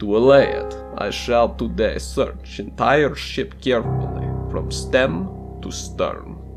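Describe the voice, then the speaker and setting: A man at a very slow pace over music in the background. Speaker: audiobook narrator. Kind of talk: dramatic audiobook reading.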